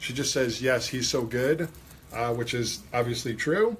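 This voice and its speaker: In a New York accent, a man speaks at a moderate pace with ordinary pitch variation. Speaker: hairdressing educator and livestream host. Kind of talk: livestream chat, reading viewer comments. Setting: livestream in a salon. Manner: enthusiastic.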